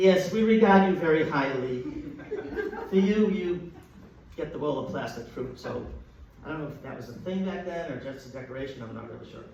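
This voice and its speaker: With an American accent and a fairly high pitch, a man talks at a fairly quick pace in lively intonation, with long, frequent pauses and big swings in loudness, over noticeable background noise and audible room echo. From Boston, Massachusetts (Dorchester). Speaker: comedian. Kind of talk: stand-up. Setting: stage with audience.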